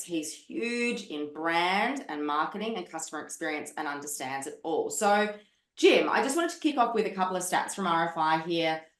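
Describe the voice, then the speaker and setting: The intonation is lively and the pace moderate. Audible room echo surrounds the voice. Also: woman. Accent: Australian. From Australia. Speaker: podcast host. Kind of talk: podcast interview. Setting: video call.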